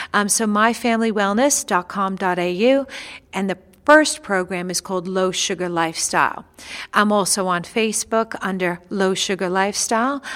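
On a very clean recording with a silent background, a woman with a New York accent speaks at a moderate pace with ordinary pitch variation. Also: medium pitch for a woman. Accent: New York American. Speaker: nutritionist. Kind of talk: interview chat about nutrition.

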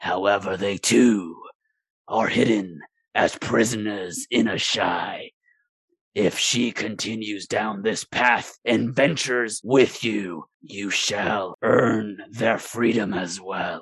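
A man growls in a put-on character voice with a fairly low pitch. He speaks at a very slow pace. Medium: actual play. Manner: imperious, manipulative.

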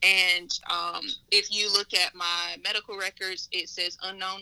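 Music plays in the background. Over it, a woman talks at a fairly slow pace and medium pitch. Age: 20s. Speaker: business founder and writer. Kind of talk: interview. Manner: halting, many fillers.

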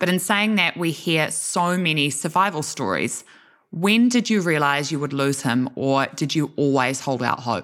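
A woman with a New Zealand accent and a very deep, low pitch speaks at a moderate pace with lively intonation and very even loudness, on a very clean recording with a silent background. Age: 20s. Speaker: podcast host. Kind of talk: interview.

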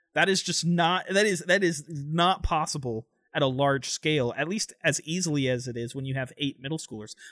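With an American accent, a man talks at a moderate pace in a fairly high pitch, his tone bright and sharp, his pitch variation ordinary, and hardly any pauses. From Florida (Tampa). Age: 20s. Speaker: student pastor and podcast co-host. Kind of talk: casual chat.

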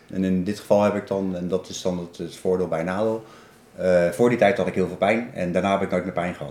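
Here a man speaks in a very deep, low voice at a fairly quick pace. His intonation is fairly even. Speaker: person with spinal cord injury sharing experience. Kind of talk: casual interview. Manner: halting, many repetitions.

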